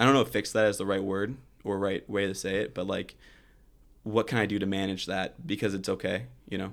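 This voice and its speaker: Here is a man with an unremarkable speaking voice and a fairly low pitch. He moves at a fairly quick pace with fairly even intonation. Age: 20s. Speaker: college student. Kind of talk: casual interview.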